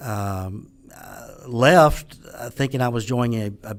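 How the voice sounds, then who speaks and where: This man's voice sits at a medium pitch. He keeps his intonation fairly even. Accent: Southern US. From US South, Mississippi. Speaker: business owner and author. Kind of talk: podcast interview.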